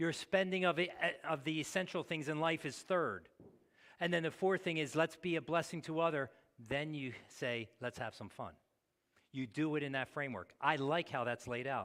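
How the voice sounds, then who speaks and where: Speaking at a moderate pace in a plain, everyday voice, a man uses a fairly high pitch with ordinary pitch variation. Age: 60s. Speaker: pastor. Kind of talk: sermon.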